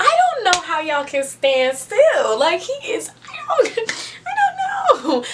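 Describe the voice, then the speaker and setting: Very wide pitch swings from a woman, with noticeable background noise. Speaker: book reviewer. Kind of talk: casual video review.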